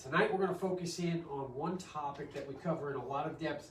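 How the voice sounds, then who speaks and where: At a moderate pace, a man talks in a high pitch with ordinary pitch variation, with audible room echo and noticeable background noise. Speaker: doctor. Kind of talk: health workshop talk. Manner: casual, many fillers.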